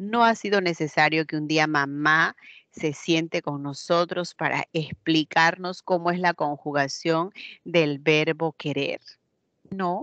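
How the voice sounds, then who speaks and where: Against a quiet background, a woman speaks at a very slow pace with a fairly low pitch and fairly even intonation, in a dry, close sound with no echo. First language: Quechua (speaking Spanish). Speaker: teacher. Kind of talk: lecture. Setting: online class, camera off.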